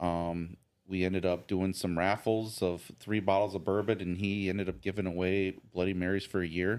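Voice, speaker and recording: In a very clean recording with a silent background, a man with an American accent speaks at a moderate pace in a very deep, low pitch, his intonation monotone and flat and his loudness very even. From US South, near Nashville, Tennessee. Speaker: bourbon enthusiast. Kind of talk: casual chat.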